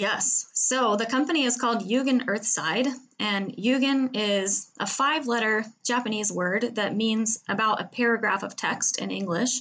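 A woman with an American accent speaks in an unremarkable speaking voice, fairly high in pitch, with ordinary pitch variation at a moderate pace. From US Pacific Northwest, Seattle. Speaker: travel entrepreneur. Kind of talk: interview.

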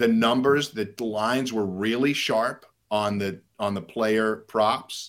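On a very clean recording with a silent background, a man with an American accent has a normal speaking voice at a medium pitch and ordinary pitch variation. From New York. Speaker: sports media executive and fantasy sports writer. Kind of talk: podcast interview.

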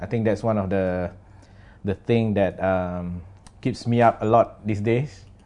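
A man with a Singaporean accent talks at a fairly slow pace. His voice has a dark, mellow tone and a fairly low pitch. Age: 40s. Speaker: creative director. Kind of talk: casual chat. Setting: studio with camera.

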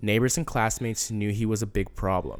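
A man's medium-pitched voice at a moderate pace. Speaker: podcast co-host. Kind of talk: casual chat. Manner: halting.

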